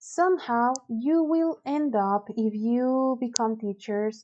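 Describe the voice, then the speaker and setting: Speaking very slowly, a woman with a Spanish accent uses a high pitch and lively intonation. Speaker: university teacher. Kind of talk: lecture. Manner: hesitant, many fillers.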